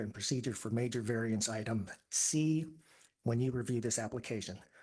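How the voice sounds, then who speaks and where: A man's fairly quick, fairly even-toned delivery against a quiet background. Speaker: public commenter at city meeting. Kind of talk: public comment. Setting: public meeting hall. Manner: soft-spoken.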